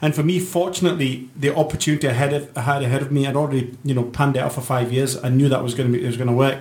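The voice is somewhat breathy and moves at a fairly quick pace. Its pitch varies in an ordinary way. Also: man. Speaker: broadcaster and fundraiser. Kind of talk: casual panel discussion. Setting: studio.

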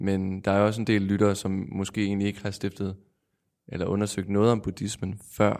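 The man's fairly low voice stays monotone and flat, recorded very cleanly against a silent background. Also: moderate pace. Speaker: radio host. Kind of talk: interview.

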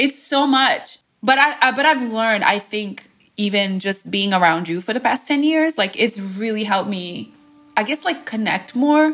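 A woman with a Bosnian accent, fairly high pitch and lively intonation. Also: moderate pace. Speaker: radio DJ. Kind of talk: casual personal conversation.

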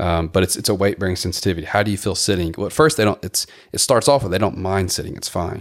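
Talking very fast with an American accent, a man uses a very deep, low pitch and ordinary pitch variation. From Memphis, Tennessee, US South. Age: 40s. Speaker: physical therapist. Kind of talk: casual chat.

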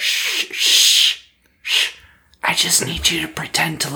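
A man's quiet, whispered put-on character voice at a fairly slow pace. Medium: actual play. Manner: hushed, whispering.

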